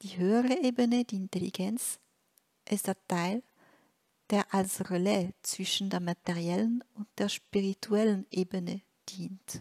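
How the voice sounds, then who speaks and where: The speaker moves at a fairly slow pace with long, frequent pauses on a very clean recording with a silent background. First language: French (speaking German). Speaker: spiritual teacher. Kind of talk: reading aloud a translated spiritual text. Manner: halting, with frequent hesitations.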